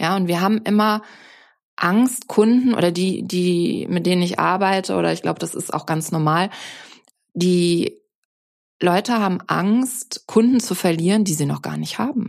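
A woman's medium-pitched voice, fairly slow, with long, frequent pauses and ordinary pitch variation. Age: 50s. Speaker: business mentor. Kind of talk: casual chat. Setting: video call.

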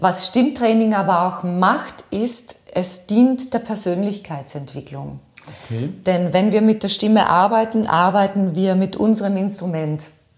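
Somewhat breathy, a woman speaks at a fairly slow pace. Her pitch is medium, with ordinary pitch variation. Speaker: voice and rhetoric trainer, former radio host. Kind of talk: interview. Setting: in her office.

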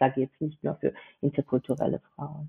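A woman speaks with a Georgian accent. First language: Georgian (speaking German). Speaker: intercultural business founding consultant. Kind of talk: interview. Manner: halting, many filler sounds.

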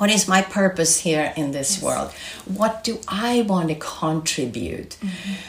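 A woman in a Swedish accent talks at a fairly slow pace in a medium pitch with ordinary variation, over noticeable background noise. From Sweden. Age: 60s. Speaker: health institute director. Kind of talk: interview.

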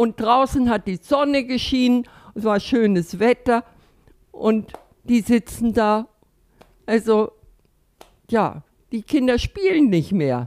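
A woman's fairly high voice at a very slow pace, with long, frequent pauses. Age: 80s+. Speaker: retired physiotherapist, volunteer. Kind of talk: interview. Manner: halting.

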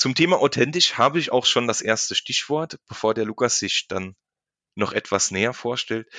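In a bright, sharp tone, a man talks at a moderate pace with ordinary pitch variation, the sound dry and close with no echo and the background quiet. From Saarland, Germany. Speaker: insurance agent and podcast host. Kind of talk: casual chat. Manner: unscripted, with many fillers and repetitions.

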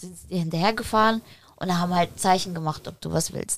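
A woman speaks at medium pitch. Her pace is moderate and her pitch varies in an ordinary way. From Poland, raised in Germany from age six. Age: 30s. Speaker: former drug user, entrepreneur. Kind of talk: casual interview chat.

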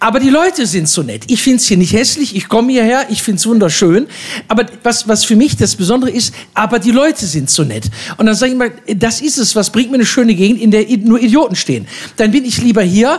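Noticeable background noise accompanies a man with a high voice. He talks fairly quickly with lively intonation. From Ruhr area, Duisburg. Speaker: cabaret artist. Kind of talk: live stage interview.

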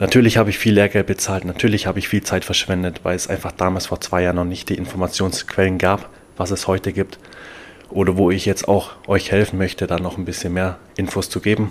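A man's very deep, low voice at a fairly quick pace, monotone and flat in intonation. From Bavaria, Germany. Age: 20s. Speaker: podcast host and NFT coach. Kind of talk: solo podcast monologue.

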